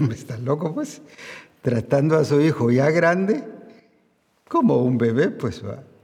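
This man's tone is dark and mellow, and somewhat breathy. He talks at a fairly slow pace. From Guatemala. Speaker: pastor. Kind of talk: sermon.

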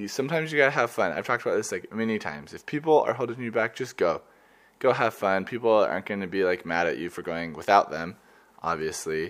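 Lively intonation marks a man talking at a very fast pace in a very clean recording with a silent background. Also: fairly low pitch for a man. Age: 20s. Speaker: student podcaster. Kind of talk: casual travel monologue. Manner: casual, many fillers.

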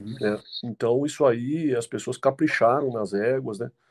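A man at medium pitch speaks at a fairly slow pace. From Jundiaí, São Paulo state, Brazil. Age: 50s. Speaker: mule and donkey breeder. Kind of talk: casual interview. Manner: halting, with repetitions.

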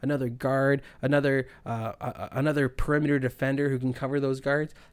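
A man with a Canadian Prairie accent speaks at a medium pitch. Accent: Canadian English (Prairies). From Canada (Winnipeg, Manitoba). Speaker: sports podcast host. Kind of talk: casual solo sports talk.

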